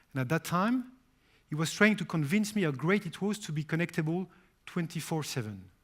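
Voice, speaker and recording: A man with a French accent speaks at a high pitch and a fairly quick pace. His intonation is lively, and the recording is very clean with a silent background. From France. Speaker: company CEO. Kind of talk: press conference speech.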